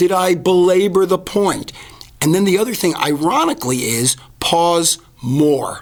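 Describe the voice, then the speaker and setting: With lively intonation and very even loudness, the voice comes through over noticeable background noise. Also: man. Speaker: advertising expert and professional speaker. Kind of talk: podcast interview. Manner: fast.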